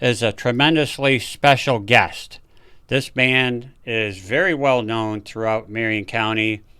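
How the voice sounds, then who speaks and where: A man talks at a fairly slow pace in a medium pitch. His tone is bright and sharp, with ordinary pitch variation. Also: very clean recording, silent background. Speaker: executive director of veterans nonprofit. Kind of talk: podcast host introduction.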